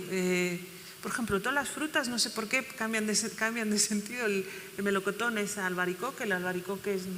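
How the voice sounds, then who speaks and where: A woman at a medium pitch talks at a fairly quick pace, her pitch varying in an ordinary way, while noticeable background noise runs behind her. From Rif, Morocco (raised in Catalonia). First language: Berber (Riffian) (speaking Spanish). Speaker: novelist. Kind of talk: panel conversation. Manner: halting.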